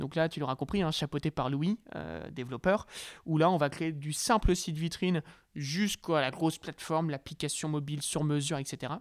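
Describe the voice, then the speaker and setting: A man with an unremarkable speaking voice talks fairly quickly at a fairly high pitch, with ordinary pitch variation. The recording is very clean with a silent background and a dry, close sound with no echo. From northern France, Lille. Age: 20s. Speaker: young entrepreneur. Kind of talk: interview.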